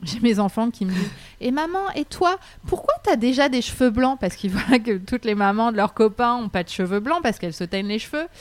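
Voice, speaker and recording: A woman at a fairly high pitch with very wide pitch swings and a fairly quick pace. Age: 30s. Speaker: leadership coach and training company founder. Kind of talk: interview.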